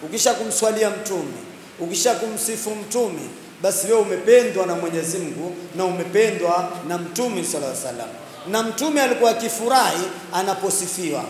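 Speech comes at a fairly quick pace over light background noise, with audible room echo. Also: man. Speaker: religious preacher. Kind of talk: sermon. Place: hall. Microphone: handheld.

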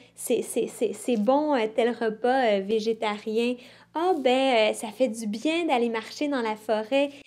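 A woman speaks at a high pitch and a very slow pace. Her pitch variation is ordinary. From Quebec. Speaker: environmentalist; interviewee. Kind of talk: interview. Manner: halting, many repetitions. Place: studio.

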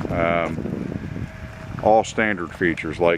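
Amid noticeable background noise, a man speaks with ordinary pitch variation in a dry sound with no echo. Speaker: camper salesman. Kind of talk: sales walkaround commentary. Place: street. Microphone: phone near.

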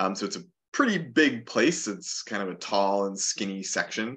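Over a quiet background, a man with a fairly low pitch and a bright, sharp tone speaks in an Upper Midwest accent with lively intonation. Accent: Upper Midwest American. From southern Minnesota. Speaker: naturalist and environmental educator; environmental educator. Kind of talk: webinar presentation. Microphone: webcam.

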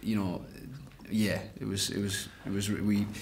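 A man's voice amid noticeable background noise. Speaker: actor promoting a film. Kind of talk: interview answer. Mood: relaxed, amused. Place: hall.

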